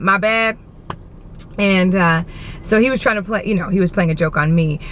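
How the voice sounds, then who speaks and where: At a fairly quick pace, a woman with a medium pitch talks in an animated tone with ordinary pitch variation, over noticeable background noise. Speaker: vlogger. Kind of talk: casual vlog chat. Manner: loud.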